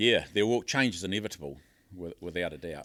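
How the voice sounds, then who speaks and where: A man with a New Zealand accent speaks with ordinary pitch variation. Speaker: podcast host and fisherman. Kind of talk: interview. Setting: hotel conference venue. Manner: halting.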